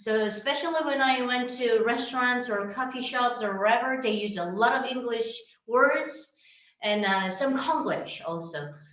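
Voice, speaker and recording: In a North Korean accent, a woman with a fairly high pitch talks at a fairly slow pace with lively intonation, and room echo is audible. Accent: North Korean Korean accent, restored. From North Korea, Pyongyang. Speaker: North Korean defector, TV personality. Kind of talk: panel Q&A answers. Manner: halting.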